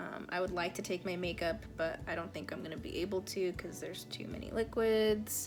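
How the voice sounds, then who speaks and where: With music in the background and audible room echo, a woman talks at a fairly quick pace in a fairly low pitch with fairly even intonation. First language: Spanish. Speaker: beauty vlogger. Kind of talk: casual makeup tutorial chat. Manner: calm.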